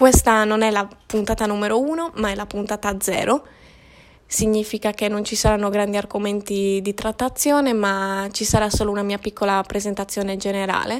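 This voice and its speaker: A plain, everyday voice, this woman speaks at a moderate pace with fairly even intonation. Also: medium pitch for a woman. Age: 20s. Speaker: podcaster. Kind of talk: solo monologue.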